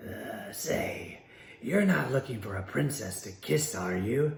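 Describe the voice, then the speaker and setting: A man puts on a raspy character voice at medium pitch, with very wide pitch swings and big jumps in loudness. He speaks at a fairly slow pace, and an echo is audible. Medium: read story.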